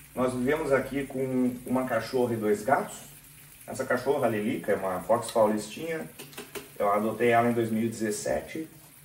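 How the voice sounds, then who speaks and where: Over noticeable background noise and audible room echo, the speech moves at a moderate pace with ordinary pitch variation. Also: man, medium pitch for a man. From southern Brazil, Porto Alegre area (Rio Grande do Sul). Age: 40s. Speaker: software QA professional and channel creator. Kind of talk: casual personal vlog while making coffee.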